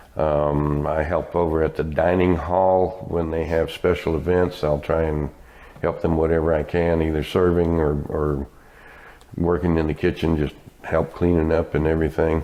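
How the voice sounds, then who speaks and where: This man has a very deep, low voice and an American accent, speaking at a moderate pace. His intonation stays flat and monotone, and his loudness is very even. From US, military family (Texas, Louisiana, etc.). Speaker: retirement community volunteer. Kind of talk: interview.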